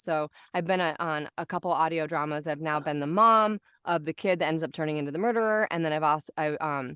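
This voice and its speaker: A woman with a raspy, fairly low voice talks at a fairly quick pace with ordinary pitch variation. The sound is dry and close with no echo, and the background is quiet. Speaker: voice actor. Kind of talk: casual chat.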